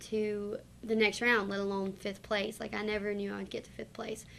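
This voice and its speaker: Her voice sits at a medium pitch and has a bright, sharp tone. The woman speaks with a Southern US accent. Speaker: singer. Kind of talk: interview.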